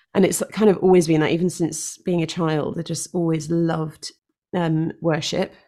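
A woman's fairly low voice in a London accent, dark and mellow, at a moderate pace with monotone, flat intonation. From North London. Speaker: worship leader and singer-songwriter. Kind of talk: casual interview.

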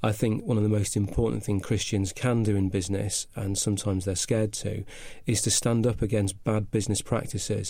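With a slight northern English accent, a man talks at a fairly quick pace in a fairly low, dark, mellow, somewhat breathy voice, his intonation fairly even and his loudness very even. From northern England. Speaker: business consultant. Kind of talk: casual interview. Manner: halting, hesitant.

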